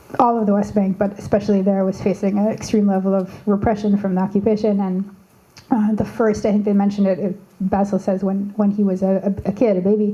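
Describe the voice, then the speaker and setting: A woman's medium-pitched voice in a Canadian accent, very fast, with very even loudness and monotone, flat intonation over noticeable background noise. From Canada. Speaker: activist. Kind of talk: panel discussion. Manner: halting, many fillers and restarts.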